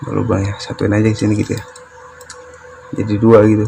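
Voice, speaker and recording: A man talks very fast in a fairly low, monotone voice with flat intonation. Noticeable background noise sits behind him. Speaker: DIY electronics youtuber. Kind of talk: tutorial. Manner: casual thinking aloud.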